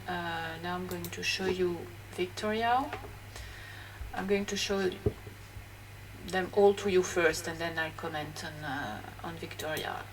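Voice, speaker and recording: With a French accent, a woman speaks at a fairly slow pace, leaving long, frequent pauses, while noticeable background noise and audible room echo fill the recording. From France. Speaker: graphologist. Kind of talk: educational talk. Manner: hesitant, many fillers.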